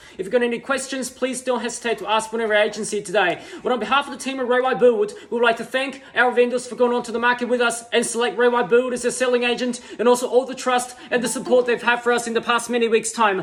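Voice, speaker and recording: Extremely high in pitch, a man rattles along at a very fast pace with hardly any pauses and fairly even intonation, over noticeable background noise. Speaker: real estate auctioneer. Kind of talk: auction opening welcome speech. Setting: online and room auction, taking bids. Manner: fast, rhythmic, patter.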